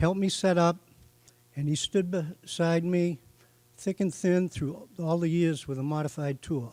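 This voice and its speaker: A man with a Boston accent speaks at a fairly slow pace, his pitch high for a man. His tone is dark and mellow, with fairly even intonation. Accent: Boston-area New England. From eastern Massachusetts, Norfolk. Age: 70s. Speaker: hall of fame inductee, racing tire supplier. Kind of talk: acceptance speech. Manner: halting, many fillers.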